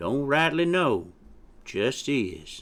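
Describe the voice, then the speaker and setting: In a very clean recording with a silent background, a put-on character voice drawls in a Southern US accent. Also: man. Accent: Southern backwoods drawl. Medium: read story. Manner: folksy, drawling.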